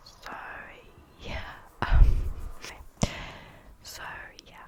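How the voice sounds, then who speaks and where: Whispering at a fairly slow pace, the speaker is heard against noticeable background noise. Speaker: ASMR creator. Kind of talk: whispered ASMR rambling.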